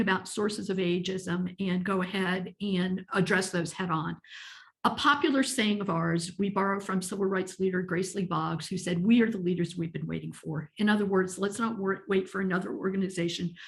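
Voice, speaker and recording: With an American accent, a woman at medium pitch talks at a moderate pace with fairly even intonation and a somewhat breathy quality against a quiet background. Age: 60s. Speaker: ageism advocate. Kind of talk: webinar presentation.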